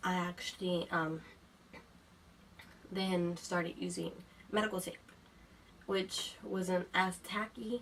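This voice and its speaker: A woman at a medium pitch speaks at a very slow pace, with long, frequent pauses and ordinary pitch variation. Noticeable background noise is heard. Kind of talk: casual talk to camera. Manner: casual, hesitant.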